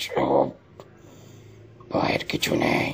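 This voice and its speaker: A man speaks quietly and very slowly in a put-on character voice. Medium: read story.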